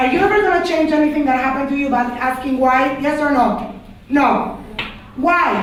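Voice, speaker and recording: An animated tone from a woman with ordinary pitch variation, audible room echo and noticeable background noise. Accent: Panamanian. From Panama. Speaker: religious studies teacher. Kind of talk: lecture to class.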